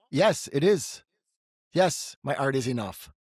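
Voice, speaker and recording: Somewhat breathy and fairly high-pitched, a man's voice makes very wide pitch swings in a very clean recording with a silent background. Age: 60s. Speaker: clairvoyant podcast host. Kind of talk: intuitive reading.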